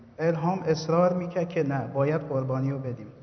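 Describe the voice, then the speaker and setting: Noticeable background noise sits behind a man talking at a fairly quick pace. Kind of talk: testimony. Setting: church service.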